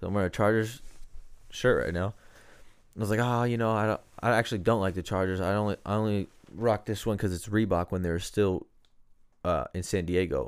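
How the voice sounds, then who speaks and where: A man, speaking fairly quickly with ordinary pitch variation, is heard in a very clean recording with a silent background. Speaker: podcast host. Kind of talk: casual chat.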